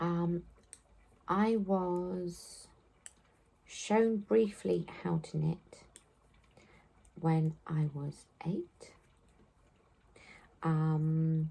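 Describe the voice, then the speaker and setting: Very slow and somewhat breathy, a woman with an English accent speaks in a fairly low pitch with a dark, mellow tone. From southwest England. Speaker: knitting podcaster. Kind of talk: casual chat. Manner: hesitant, many fillers.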